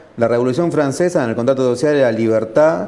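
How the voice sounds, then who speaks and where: A man speaks with a Rioplatense accent. His pace is very fast. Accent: Argentine Rioplatense Spanish. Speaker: interviewer. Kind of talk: interview. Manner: halting, repeats words.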